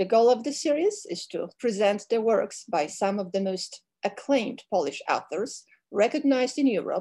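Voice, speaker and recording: With a dark, mellow tone, a woman speaks at a fairly high pitch and a moderate pace, her intonation lively over a quiet background. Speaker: cultural affairs director. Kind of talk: formal introduction. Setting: video call.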